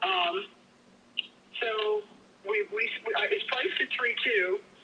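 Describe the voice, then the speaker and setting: The speech comes at a fairly slow pace in an American accent over noticeable background noise. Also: woman. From Pennsylvania. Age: 70s. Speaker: property seller. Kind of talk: live sales call.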